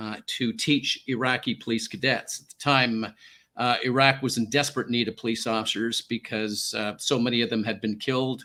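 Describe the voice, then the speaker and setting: A man with a slight Canadian accent and a bright, sharp tone comes through on a very clean recording with a silent background. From Canada. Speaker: former peacekeeper and hostage negotiator. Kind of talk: radio interview, personal story.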